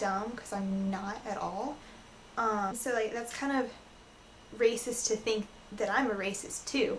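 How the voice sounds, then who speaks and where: A woman with a Southern US accent speaks in a fairly high voice with monotone, flat intonation at a fairly slow pace. Audible room echo and noticeable background noise come through. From US South. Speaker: vlogger. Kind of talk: casual vlog rant. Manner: hesitant, frequent ums.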